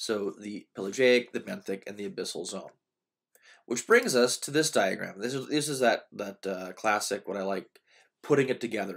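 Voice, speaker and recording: The speech moves at a fairly quick pace with ordinary pitch variation. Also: man. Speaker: community college professor. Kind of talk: lecture. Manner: fast; hesitant, many fillers.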